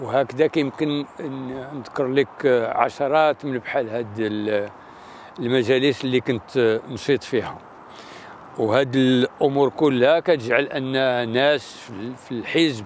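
Very slowly and with fairly even intonation, a man speaks in a dry, echo-free sound over light background noise. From Morocco, Marrakesh region (Amazigh); Morocco. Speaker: politician, senator; interviewee. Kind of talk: interview. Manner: halting. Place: street.

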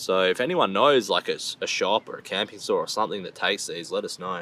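A man at a fairly quick pace, in a dry sound with no echo. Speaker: van dweller vlogger. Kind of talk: casual vlog chat. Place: car. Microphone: phone near.

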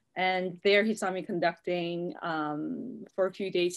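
A woman speaks with an American accent. The background is quiet. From South Korea. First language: Korean. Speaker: orchestra conductor. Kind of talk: casual chat. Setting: video call. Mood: relaxed, smiling. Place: home room. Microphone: video call.

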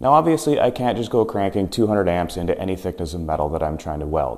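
Over a quiet background, a man with a very deep, low pitch talks at a very fast pace, his voice swinging very widely in pitch. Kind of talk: tutorial. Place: garage.

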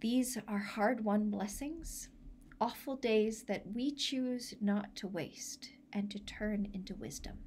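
At a very slow pace, a woman speaks in a gentle, solemn tone over light background noise. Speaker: church minister leading a service. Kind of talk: blessing prayer, pastoral benediction. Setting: online church video. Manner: slow, gentle and solemn, measured pastoral cadence; warm, reflective, reassuring. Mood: warm, gentle, smiling. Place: home room. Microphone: phone near.

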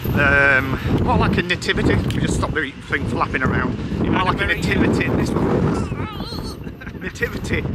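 A man talks at a moderate pace, his dry, echo-free sound set against loud background noise. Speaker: vlogger. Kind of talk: casual vlog chat. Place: street. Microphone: phone near.

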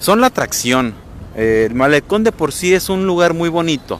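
A man's lively intonation and moderate pace come through against light background noise. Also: dry sound with no echo. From Mexico, Pitillal (Puerto Vallarta, Jalisco). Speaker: local news reporter. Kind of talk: live stream walkthrough reporting. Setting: outdoors on the seafront promenade. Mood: relaxed, admiring. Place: waterside. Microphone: phone near.

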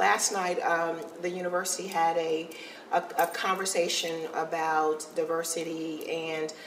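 Room echo is audible as a woman speaks at a fairly slow pace. Her intonation is fairly even, and light background noise sits behind her. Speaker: city mayor. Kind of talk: casual interview chat. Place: studio.

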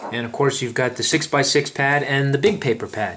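A man speaks with an American accent. He keeps a moderate pace. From Brooklyn, New York. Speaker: craft shop presenter. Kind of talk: product demo. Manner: animated.

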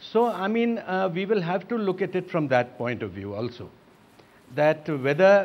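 A man with an Indian accent talks at a fairly slow pace and a high pitch. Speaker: writer and poet. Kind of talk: televised panel debate. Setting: studio. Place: home room. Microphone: lapel.

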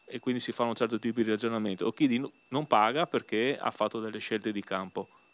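The man's voice sits at a medium pitch. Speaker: opposition group leader councillor. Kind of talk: council debate. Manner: halting, repetitive. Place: hall. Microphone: new microphone.

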